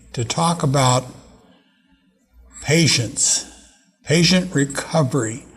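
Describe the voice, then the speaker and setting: Music plays in the background as a man talks. His voice is fairly high, with ordinary pitch variation. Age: 80s+. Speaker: TV talk show host. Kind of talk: interview. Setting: studio. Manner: halting.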